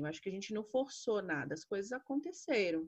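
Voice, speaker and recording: Her pitch swings very widely as a woman talks fairly quickly. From Brasília, Brazil. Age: 20s. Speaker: podcast co-host, history teacher. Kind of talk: casual chat.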